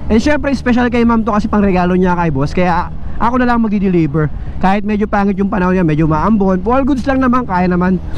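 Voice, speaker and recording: Delivered at a very fast pace with ordinary pitch variation and very even loudness, the speech has noticeable background noise and audible room echo. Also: man, high pitch for a man. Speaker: motovlogger and online shop owner. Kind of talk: casual vlog while riding.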